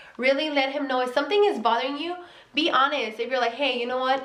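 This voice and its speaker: A woman speaks with a Mexican accent. There is audible room echo. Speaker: vlogger. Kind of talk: casual advice vlog. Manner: casual, filler-heavy with self-corrections.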